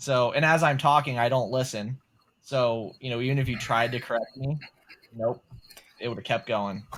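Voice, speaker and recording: A man with a Southern US accent, medium pitch, fairly even intonation, a moderate pace and long, frequent pauses. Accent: Southern twang. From US South. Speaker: podcast co-host. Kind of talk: casual chat.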